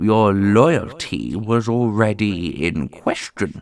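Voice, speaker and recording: A man uses a put-on character voice at a fairly low pitch and a very slow pace, on a very clean recording with a silent background. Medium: audio drama. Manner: authoritative, cold.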